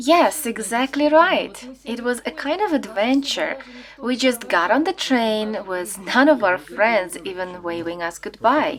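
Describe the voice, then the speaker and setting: A woman speaks at a fairly slow pace with a fairly high pitch that swings very widely. Background noise is noticeable. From western Ukraine (Rovno). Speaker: interviewee, former Soviet citizen. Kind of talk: interview.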